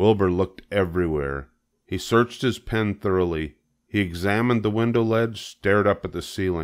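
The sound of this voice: Quiet background behind an unforced reading voice. Pitch variation is ordinary.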